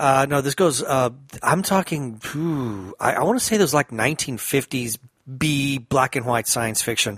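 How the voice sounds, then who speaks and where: Here is a man with a normal speaking voice, fairly high in pitch, speaking at a fairly slow pace with lively intonation. The recording is very clean with a silent background and a dry, close sound with no echo. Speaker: podcast co-host. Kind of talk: casual discussion podcast.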